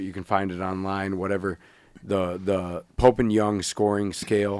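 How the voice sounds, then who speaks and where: A man's fairly low voice at a moderate pace, a normal speaking voice. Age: 40s. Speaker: podcast co-host and bow hunter. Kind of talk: casual chat.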